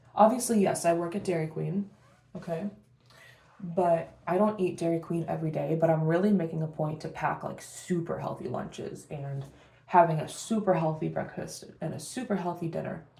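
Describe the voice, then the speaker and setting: A woman speaks with a fairly low pitch, a dark, mellow tone and vocal fry. Her pitch varies in an ordinary way, and the room echo is audible. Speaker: beauty vlogger. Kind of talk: casual get-ready-with-me vlog. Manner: fast.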